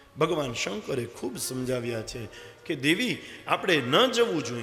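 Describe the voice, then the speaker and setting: A man with lively intonation and big swings in loudness, music in the background. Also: medium pitch for a man. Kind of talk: devotional scripture discourse.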